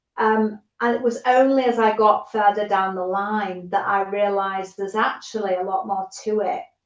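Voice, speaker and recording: Here a woman speaks in a British accent at a moderate pace with hardly any pauses. Her intonation stays fairly even. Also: medium pitch for a woman. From United Kingdom. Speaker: holistic coach, former nurse. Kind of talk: podcast interview answer.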